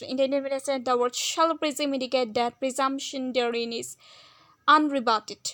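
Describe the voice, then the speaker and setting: Projecting her raised voice at a high pitch, a woman talks at a fairly quick pace with fairly even intonation. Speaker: law tutor. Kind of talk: educational lecture. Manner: fast.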